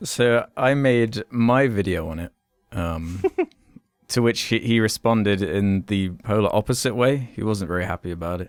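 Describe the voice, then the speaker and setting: A man with a British accent talks at a moderate pace, his fairly low voice showing ordinary pitch variation. The recording is very clean with a silent background and a dry, close sound with no echo. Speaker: film review podcast co-host, YouTuber. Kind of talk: casual chat. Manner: sounds sarcastic.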